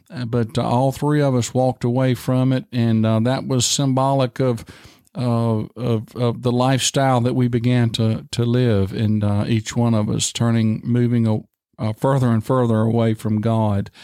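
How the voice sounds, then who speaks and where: A man with a Virginia accent speaks at a moderate pace, his medium-pitched voice dark and mellow in tone, with fairly even intonation. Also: very clean recording, silent background. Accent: Southern US (Virginia). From US South, rural southern Virginia. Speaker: pastor. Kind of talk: interview, personal testimony. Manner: halting, many fillers.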